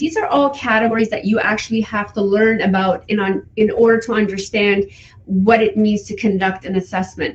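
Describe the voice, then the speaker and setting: A woman's somewhat breathy voice carries fairly even intonation. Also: fairly high pitch for a woman, moderate pace. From Iran. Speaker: forensic psychology educator. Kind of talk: guest talk.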